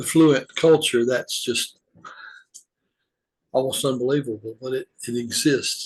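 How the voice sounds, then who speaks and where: A man with a Southern US accent speaks at a fairly slow pace in a somewhat breathy, fairly high voice with fairly even intonation. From US South, Georgia. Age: 70s. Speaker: retired humanitarian volunteer. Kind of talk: personal reflective monologue. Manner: halting, with fillers.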